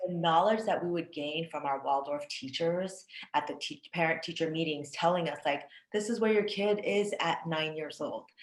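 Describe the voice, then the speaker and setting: In a normal speaking voice, the speaker keeps a moderate pace and ordinary pitch variation. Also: woman, fairly low pitch for a woman. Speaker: podcast host. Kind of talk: interviewer, casual conversation.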